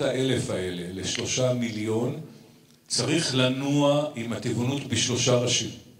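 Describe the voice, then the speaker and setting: A man speaks at a very slow pace with ordinary pitch variation. Room echo can be heard. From Israel. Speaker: vegan activist and theatre director; speaker. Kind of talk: conference speech. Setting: stage with audience. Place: stage. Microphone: handheld.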